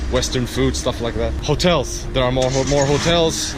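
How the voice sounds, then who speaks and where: Audible room echo and noticeable background noise accompany speech at a moderate pace. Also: man. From Portugal. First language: Portuguese. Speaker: travel vlogger. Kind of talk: vlog to camera. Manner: halting, many restarts; lowered voice.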